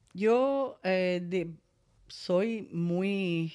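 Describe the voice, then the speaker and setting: Ordinary pitch variation from a woman, recorded very cleanly against a silent background. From Cuba. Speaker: breast cancer survivor. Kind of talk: testimony.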